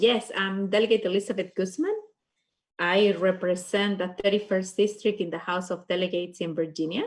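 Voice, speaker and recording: A woman with a Peruvian accent speaks at a moderate pace. Her pitch sits in the middle range, with ordinary variation. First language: Spanish. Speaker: state legislator. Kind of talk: panel discussion.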